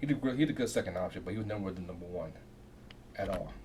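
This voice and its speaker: A soft-spoken man, somewhat breathy, with a dark, mellow tone and ordinary pitch variation. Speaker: reaction video creator. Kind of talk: casual talk to camera.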